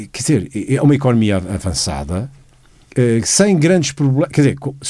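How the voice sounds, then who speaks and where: A man is talking. His voice has a dark, mellow tone. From Portugal, Lisbon. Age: 60s. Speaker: economist commentator. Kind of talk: economic analysis.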